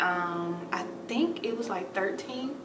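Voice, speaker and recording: Music behind a woman's voice. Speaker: lifestyle vlogger. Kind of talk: casual vlog chat. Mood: relaxed, light laughter. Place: home room. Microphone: camera far.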